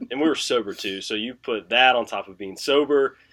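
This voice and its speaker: Mumbling, a man speaks at a medium pitch with a bright, sharp tone. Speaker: sports betting podcast co-host. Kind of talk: casual chat. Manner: mumbles.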